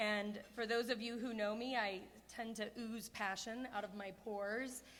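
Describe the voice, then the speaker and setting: A woman speaks at a fairly high pitch in a monotone, flat delivery, with audible echo from the room. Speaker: award honoree. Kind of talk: acceptance speech. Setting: stage with audience at a gala. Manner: loud. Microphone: too close to the mic.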